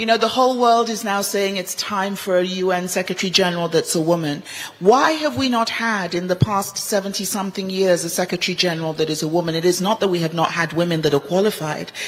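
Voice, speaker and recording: A woman with a Nigerian accent and medium pitch, talking at a very fast pace over noticeable background noise. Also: ordinary pitch variation. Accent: Nigerian with British schooling. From Nigeria, Ibadan; boarding school in England. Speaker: medical doctor and global health envoy, panelist. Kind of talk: panel discussion. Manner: animated.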